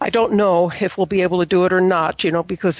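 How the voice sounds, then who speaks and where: A woman's fairly low voice with fairly even intonation, a normal speaking voice. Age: 60s. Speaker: business owner. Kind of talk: interview.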